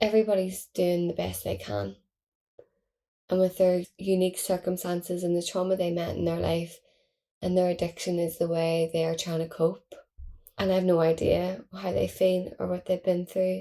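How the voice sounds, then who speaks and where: In a Belfast accent, a woman with a fairly low pitch speaks at a moderate pace, her intonation flat and monotone. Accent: Belfast Northern Irish. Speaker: podcast host. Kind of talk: casual monologue. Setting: at home.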